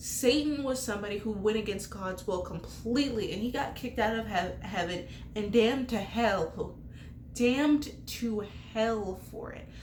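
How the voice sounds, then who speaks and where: A woman speaks at a moderate pace in an animated tone. Audible room echo and noticeable background noise accompany her. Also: fairly high pitch for a woman, ordinary pitch variation, big swings in loudness. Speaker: bible teacher. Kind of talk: bible study talk.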